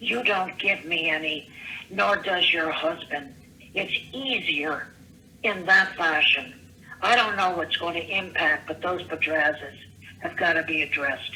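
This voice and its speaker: Noticeable background noise behind a fairly slow delivery with ordinary pitch variation. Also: woman. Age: 70s. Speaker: caller leaving voicemails. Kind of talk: voicemail rant. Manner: halting.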